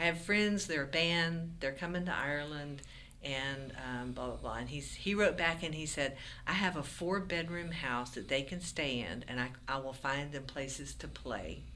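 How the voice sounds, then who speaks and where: Her voice is very deep and low, with a bright, sharp tone and vocal fry. The woman has an American accent, and room echo is audible. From Florida Panhandle. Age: 60s. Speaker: folk musician. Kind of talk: interview.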